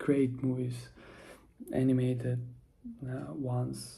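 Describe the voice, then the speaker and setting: A soft-spoken man talks at a medium pitch, with a dark, mellow tone that is somewhat breathy. Room echo can be heard. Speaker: vlogger. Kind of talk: casual monologue vlog. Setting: at home, early morning. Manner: soft-spoken, quiet; halting, many fillers.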